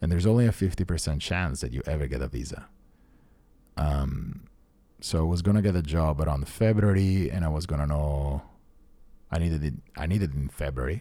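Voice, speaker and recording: A man talks fairly quickly in an Italian accent, his voice very deep and low with a dark, mellow tone. His pitch varies in an ordinary way, and he leaves long, frequent pauses. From Italy, Rome. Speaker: tech founder. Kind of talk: casual chat.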